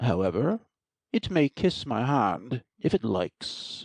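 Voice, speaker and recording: Using a put-on character voice at medium pitch, a man speaks at a fairly slow pace with very wide pitch swings. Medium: audio drama. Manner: pompous, peevish.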